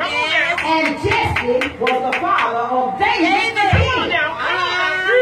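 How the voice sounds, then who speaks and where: Audible room echo is present. Loud background noise fills the recording. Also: woman. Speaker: church overseer / preacher. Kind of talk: sermon delivered to a church congregation. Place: tent. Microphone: camera far.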